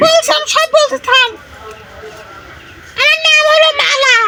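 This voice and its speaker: Squeaky and extremely high, this put-on character voice moves at a moderate pace over light background noise. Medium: game stream. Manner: defiant, taunting.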